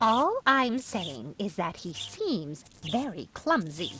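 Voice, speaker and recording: A female-sounding voice performs a put-on character at a very slow pace. It sits fairly high in pitch and swings very widely. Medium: video game. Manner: fretful, worried.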